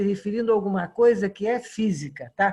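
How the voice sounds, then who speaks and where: Somewhat breathy, a woman speaks at a moderate pace with a fairly high pitch and ordinary pitch variation. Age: 70s. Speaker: tai chi student. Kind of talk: group discussion.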